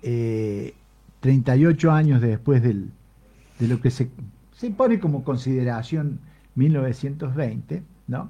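A dark, mellow, somewhat breathy voice at a very slow pace, with ordinary pitch variation and long, frequent pauses. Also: man, medium pitch for a man. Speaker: radio host. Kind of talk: casual chat.

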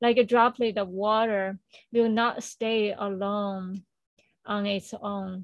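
Speaking at a very slow pace, a woman holds a monotone, flat intonation. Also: medium pitch for a woman. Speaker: spiritual circle co-organizer. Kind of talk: reading aloud. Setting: video call.

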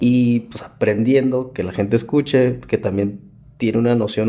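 With music in the background, a man talks at medium pitch and a moderate pace with fairly even intonation. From Mexico City. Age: 30s. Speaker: podcast host, psychologist. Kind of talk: casual interview.

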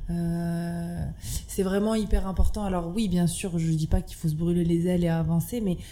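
In a room with audible echo, a woman speaks at a fairly slow pace, her voice somewhat breathy with a dark, mellow tone. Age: 20s. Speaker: restaurant owner. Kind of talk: casual interview.

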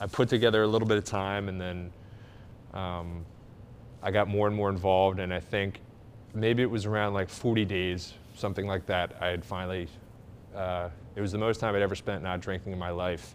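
Speaking in a very deep, low pitch with an American accent, the man keeps a monotone, flat intonation and leaves long, frequent pauses. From US, Philadelphia area (Glenside, Pennsylvania). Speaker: recovery nonprofit leader, former alcoholic. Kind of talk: interview, personal testimony.

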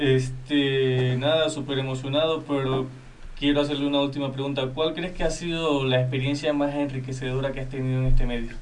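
A man's fairly high, monotone and flat voice at a fairly quick pace with hardly any pauses, audible room echo and noticeable background noise. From Venezuela. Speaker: radio co-host. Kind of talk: radio interview.

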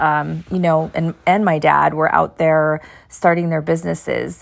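With an American accent, the speaker talks at a moderate pace on a very clean recording with a silent background. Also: woman. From Pennsylvania coal region (Frackville). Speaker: podcast host, nurse turned entrepreneur. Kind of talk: casual personal monologue.

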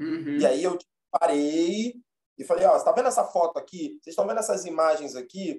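A man with a high pitch and a dark, mellow tone talks at a fairly quick pace, his loudness swinging widely and his pitch moving through very wide swings. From Rio de Janeiro, Zona Norte. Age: 30s. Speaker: history teacher and actor. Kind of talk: casual interview.

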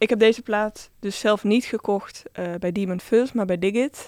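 A woman with a plain, everyday voice speaks at a fairly slow pace, at a medium pitch with fairly even intonation. The sound is dry and close with no echo, in a very clean recording with a silent background. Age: 20s. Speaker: DJ. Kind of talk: casual interview.

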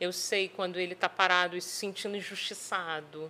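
Medium-pitched speech from a woman, an unremarkable speaking voice at a moderate pace. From Espírito Santo, Brazil (Vila Velha). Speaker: sales and HR business mentor. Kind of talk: podcast interview.

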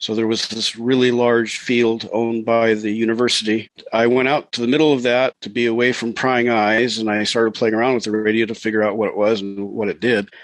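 A man with an American accent talks at a fairly quick pace, medium-pitched and monotone, with hardly any pauses over noticeable background noise. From Montana, US Pacific Northwest. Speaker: ham radio operator and space weather columnist. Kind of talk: interview.

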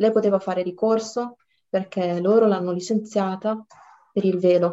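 A woman speaks with a dark, mellow tone. Her pitch is medium and her pace moderate. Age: 20s. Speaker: law student. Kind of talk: casual chat.

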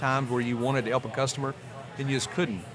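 Over noticeable background noise, a man with an American accent talks at a very fast pace and medium pitch. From US South, north Louisiana. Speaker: entrepreneur. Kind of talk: casual chat.

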